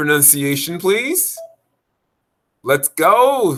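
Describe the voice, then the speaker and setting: This man's delivery is very slow. His pitch rises and falls in a lively way. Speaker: spiritual video blogger. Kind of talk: casual monologue. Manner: halting.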